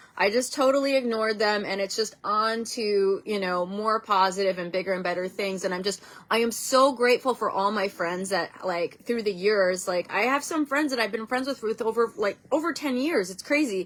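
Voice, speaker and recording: Over noticeable background noise, a woman talks at a moderate pace with hardly any pauses, her fairly high voice showing ordinary pitch variation. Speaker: vlogger and workshop speaker. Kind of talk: casual vlog talk. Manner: hesitant, many fillers.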